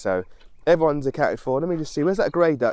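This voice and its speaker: The man's tone is animated. The sound is dry and close, with no echo. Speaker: vlogger, smallholder. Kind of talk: casual vlog talk to camera. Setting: outdoors with animals, started in car. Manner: animated, rambling with restarts.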